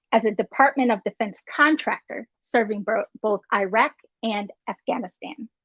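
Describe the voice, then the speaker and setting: A woman with an American accent talks at a moderate pace in a fairly high pitch, with ordinary pitch variation and an unremarkable speaking voice. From North Carolina, near Virginia border. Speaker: show host. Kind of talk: reading a guest introduction.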